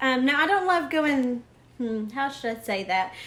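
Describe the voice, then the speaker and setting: In a strong Southern US accent, a woman raises and projects her voice, its tone bright and sharp. Her pitch swings very widely, and the room echo is audible. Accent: thick Southern US. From US South. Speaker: art teacher. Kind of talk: live-stream drawing lesson. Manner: casual, hesitant with many fillers.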